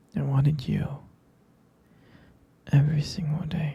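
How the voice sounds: In a put-on character voice, the speaker talks at a slow pace with a dark, mellow tone, a husky, rough edge, vocal fry and little pitch movement. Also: man, fairly high pitch for a man.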